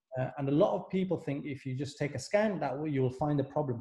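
Somewhat breathy and dark, mellow in tone, a man's fairly high voice moves at a fairly quick pace with ordinary pitch variation. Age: 30s. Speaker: physiotherapist. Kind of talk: educational interview.

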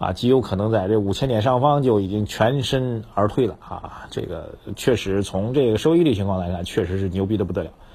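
The tone is dark and mellow, somewhat breathy. Delivery is fairly quick, with ordinary pitch variation. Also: man. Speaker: financial commentator. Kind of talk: casual market commentary. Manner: conversational, many filler particles.

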